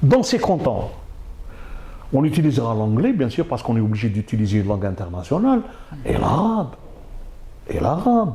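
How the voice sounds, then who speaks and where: With clear background noise and room echo, the man talks at a moderate speed, his pitch swinging very widely. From Algeria. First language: Arabic (speaking French). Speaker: university professor. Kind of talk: interview. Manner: halting.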